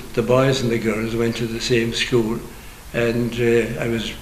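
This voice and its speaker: In a western Irish accent, a man at a medium pitch talks at a moderate pace, with audible room echo and noticeable background noise. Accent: Irish (west of Ireland). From Ireland, County Clare. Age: 80s+. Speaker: priest. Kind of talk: interview, life story.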